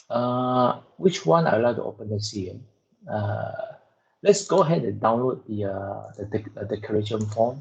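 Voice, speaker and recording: Somewhat breathy, a man talks at a moderate pace and medium pitch. His pitch variation is ordinary, while his loudness swings widely. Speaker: lab instructor. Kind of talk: lecture. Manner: soft-spoken.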